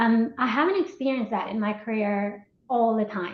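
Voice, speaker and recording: A woman speaks with a Colombian accent. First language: Spanish. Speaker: marketing executive. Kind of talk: interview.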